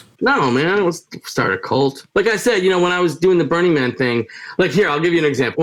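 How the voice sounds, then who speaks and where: With a New York accent, a man races along at a very fast pace in a fairly high voice, his intonation lively. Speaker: retired showman and punk musician. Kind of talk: podcast interview. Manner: loud, sounds like yelling.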